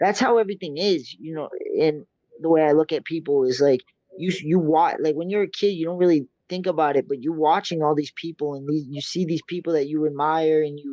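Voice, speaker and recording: A man with an American accent and an unremarkable speaking voice talks at a fairly quick pace and a fairly high pitch. His intonation stays fairly even, and the sound is dry and close with no echo. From Massachusetts, US. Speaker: MMA fighter. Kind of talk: interview.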